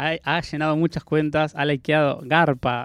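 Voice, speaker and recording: This man's voice sits at a fairly high pitch. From Argentina, Patagonia (Chubut). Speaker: proctologist. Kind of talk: radio interview. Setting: radio studio.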